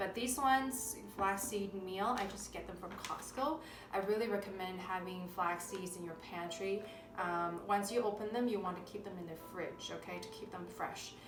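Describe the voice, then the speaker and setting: A woman talks at a moderate pace with a medium pitch and ordinary pitch variation, her loudness swinging widely. Music plays in the background, and there is audible room echo. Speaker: naturopathic doctor. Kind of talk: cooking tutorial. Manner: halting, frequent self-corrections.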